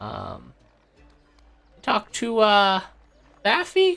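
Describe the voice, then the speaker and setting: With faint music in the background, a man uses a put-on character voice at a fairly slow pace. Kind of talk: comic character voice. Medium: actual play. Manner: hesitant, stammering, fussy.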